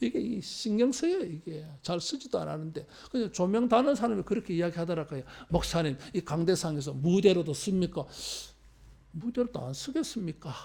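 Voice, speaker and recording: A man's high-pitched voice with a dark, mellow tone, lively intonation and a fairly quick pace, in a very clean recording with a silent background. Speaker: pastor. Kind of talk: sermon. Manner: conversational, colloquial.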